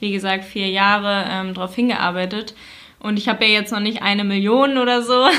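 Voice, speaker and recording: At a moderate pace, a woman speaks at a medium pitch with fairly even intonation over noticeable background noise. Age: 20s. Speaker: influencer. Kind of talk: interview.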